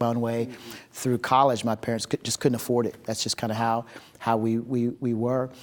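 With a plain, everyday voice at medium pitch, a man speaks at a fairly quick pace in a very clean recording with a silent background. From upstate New York, Utica, then Oklahoma. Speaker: ministry director and former pastor. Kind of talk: interview conversation.

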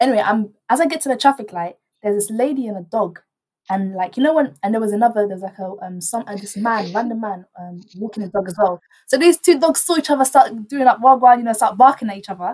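A woman with a London accent talks at a very fast pace in a fairly high, somewhat breathy voice, her tone animated, her intonation lively and her loudness swinging widely. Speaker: student radio host. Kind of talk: casual chat.

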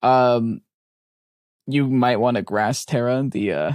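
The background is quiet. A man talks at a medium pitch with ordinary pitch variation. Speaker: podcast co-host and competitive player. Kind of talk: casual chat. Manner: loud; laughs often.

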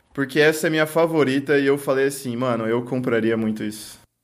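Music plays in the background. A man speaks with a fairly high pitch. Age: 20s. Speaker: podcast host. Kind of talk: casual chat.

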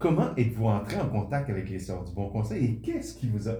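This man's voice has a dark, mellow tone and is somewhat breathy. Room echo is audible. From Quebec. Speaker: podcast host. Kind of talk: interview; scripted narration.

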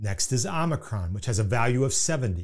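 A somewhat breathy voice with an Indiana accent at a fairly quick pace, on a very clean recording with a silent background. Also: man. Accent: Indiana Midwestern American. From US Midwest, Indiana. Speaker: podcast host, Bible teacher. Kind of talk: scripted religious teaching podcast narration. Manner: formal, measured.

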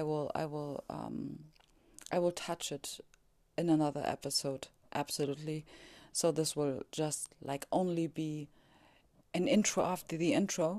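A woman's very deep, low voice with a dark, mellow tone, a non-native accent and monotone, flat intonation, at a fairly slow pace with long, frequent pauses. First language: German. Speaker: podcaster on spirituality. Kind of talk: casual monologue. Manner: halting, many fillers.

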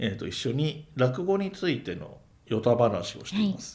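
A man keeps a moderate pace as his voice rings with audible room echo. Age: 40s. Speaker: podcaster and amateur rakugo performer. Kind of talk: casual chat.

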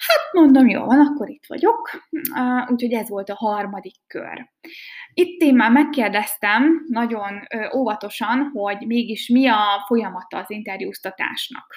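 With lively intonation and big swings in loudness, a woman speaks fairly slowly at a fairly high pitch. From Hungary, Békéscsaba. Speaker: podcaster. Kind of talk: casual monologue. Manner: hesitant, many fillers.

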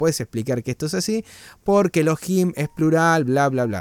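Lively intonation at a moderate pace in a Rioplatense accent, dry and close with no echo. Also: man. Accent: Argentine Rioplatense Spanish. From Argentina. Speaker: Bible study co-host. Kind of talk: online Bible study. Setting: livestream. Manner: talkative.

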